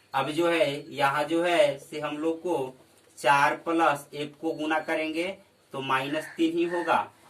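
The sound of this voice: Audible room echo carries a man's fairly bright tone at a fairly high pitch and slow pace, with fairly even intonation.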